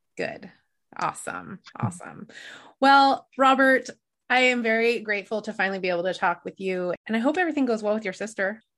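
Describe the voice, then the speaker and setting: With a plain, everyday voice, a woman speaks at a fairly high pitch and a fairly quick pace, using lively intonation over a quiet background. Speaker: podcast host. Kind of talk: podcast interview, casual chat. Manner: warm, empathetic.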